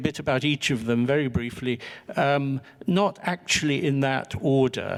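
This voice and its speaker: A man with an English accent, fairly high-pitched, very slow, with very even loudness and ordinary pitch variation. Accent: English accent when speaking French. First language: English (speaking French). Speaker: historian. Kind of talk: panel talk, lecture-like.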